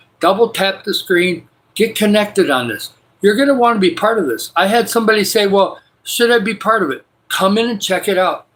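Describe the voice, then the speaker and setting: A man speaks with an American accent. His voice is high-pitched, with ordinary pitch variation. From Michigan, US. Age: 60s. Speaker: livestreamer. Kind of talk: casual live stream chat. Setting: spare bedroom at home. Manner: enthusiastic.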